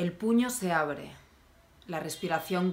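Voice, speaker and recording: A woman speaks fairly slowly with a fairly low pitch. Her tone is intense and dramatic, with ordinary pitch variation. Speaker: poet. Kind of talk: poem reading. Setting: video channel, self-recorded. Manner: intense, dramatic, deliberate delivery; conversational, wry tone in intros. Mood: calm, somber, intimate. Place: home room. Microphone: phone near.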